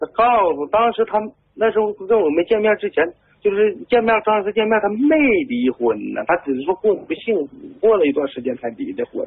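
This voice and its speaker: A man talks fairly quickly in a high voice, his pitch swinging very widely. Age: 30s. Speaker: caller. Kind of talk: phone-in confession. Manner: halting, hesitant.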